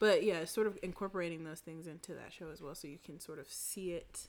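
With an American accent, a woman speaks in a plain, everyday voice, fairly low in pitch and fairly even in intonation, in a very clean recording with a silent background. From US South. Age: 30s. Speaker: photographer. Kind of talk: casual chat.

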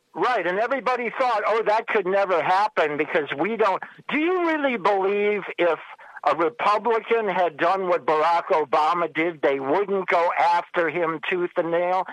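With an unremarkable speaking voice, a woman talks at a medium pitch and moderate pace, her intonation lively and her loudness very even. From New Jersey. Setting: phone call.

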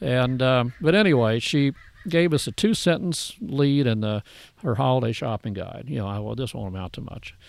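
Lively intonation and big swings in loudness mark this man's speech at a moderate pace. He has a plain, everyday voice with medium pitch. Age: 60s. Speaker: grass-fed beef rancher and business owner. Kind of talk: casual interview. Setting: outdoors in a garden.

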